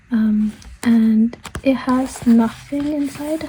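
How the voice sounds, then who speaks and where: A woman speaks in a soft-spoken manner. Her pitch is fairly high. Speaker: author and artist. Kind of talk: casual journal flip-through talk to camera. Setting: recording with low volume. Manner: quiet, soft-spoken.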